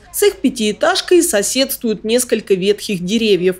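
Over noticeable background noise, a woman speaks at a moderate pace with a fairly high pitch that swings very widely. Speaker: TV news reporter. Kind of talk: news report narration. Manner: formal.

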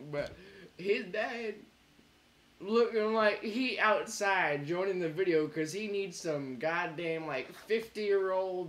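A man talks at a very slow pace in a high-pitched voice. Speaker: reaction video creator. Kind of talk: ranting commentary. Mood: mocking, angry, laughing. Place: home room.

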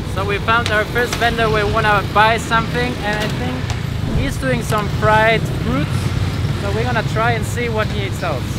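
The sound is dry with no echo as a man speaks over loud background noise. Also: moderate pace. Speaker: food vlogger. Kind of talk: casual vlog chat. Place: street. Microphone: phone near.

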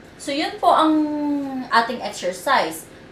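Here a woman speaks at a fairly slow pace. Audible room echo and light background noise come through. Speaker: therapist demonstrating exercises. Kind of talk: tutorial. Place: home room. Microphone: camera far.

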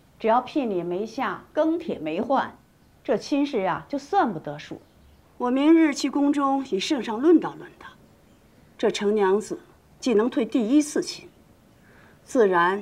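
Speaking fairly slowly at a high pitch, a woman leaves long, frequent pauses and swings widely in loudness. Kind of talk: acted drama dialogue. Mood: sly, scheming tone. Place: hall.

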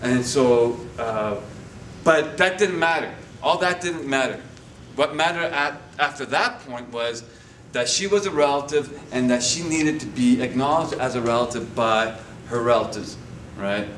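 A man talks at a moderate pace and medium pitch with ordinary pitch variation. There is audible room echo and light background noise. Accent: Canadian. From Winnipeg, Manitoba, Canada. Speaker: guest. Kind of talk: lecture. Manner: halting. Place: classroom. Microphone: camera far.

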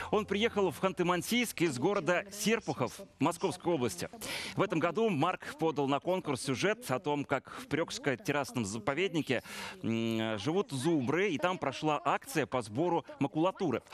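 A man with a fairly high pitch and very wide pitch swings speaks at a moderate pace in a dry, close sound with no echo. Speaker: TV presenter. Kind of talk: moderated TV studio event. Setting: studio.

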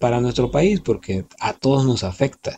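Over light background noise, a man talks with lively intonation in a dark, mellow, somewhat breathy tone. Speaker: voice-over announcer. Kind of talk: casual talk to listeners. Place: studio. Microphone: phone near.

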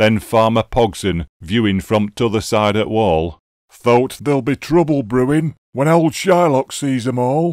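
Talking at a fairly slow pace with hardly any pauses, a man with a Yorkshire accent and medium pitch comes through on a very clean recording with a silent background and a dry, close sound with no echo. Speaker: poetry reader. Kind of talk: dialect poetry reading.

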